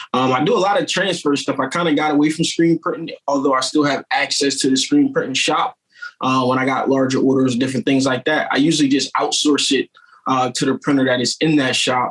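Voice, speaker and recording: With an American accent, a man talks in an ordinary speaking voice at a fairly high pitch, fairly quick, with ordinary pitch variation and very even loudness. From Wilmington, Delaware, US. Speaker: t-shirt shop owner and entrepreneur. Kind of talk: podcast interview, casual chat.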